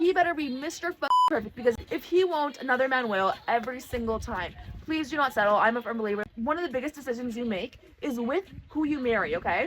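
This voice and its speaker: Over noticeable background noise, a woman talks very fast in a high pitch with lively intonation. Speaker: vlogger giving life advice. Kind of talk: casual, chatty. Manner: fast talker, jumps between topics.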